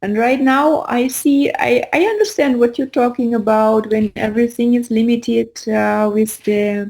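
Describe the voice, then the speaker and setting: With a non-native accent and a high pitch, a woman speaks at a moderate pace with hardly any pauses, very even loudness, and ordinary pitch variation. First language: not English. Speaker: spiritual teacher. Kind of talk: casual chat. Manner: halting.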